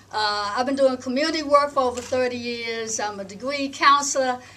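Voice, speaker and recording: Noticeable background noise and audible room echo surround a woman's voice. She speaks at a high pitch with ordinary pitch variation. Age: 60s. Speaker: breathing coach and panelist. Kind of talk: panel talk. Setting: conference workshop with audience. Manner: halting, many filler words.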